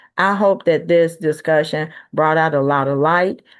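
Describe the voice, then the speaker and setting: A woman with a Southern US accent and a fairly low pitch. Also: quiet background. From US South, Birmingham, Alabama. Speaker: talk show host. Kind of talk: closing remarks of an online talk show. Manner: loud.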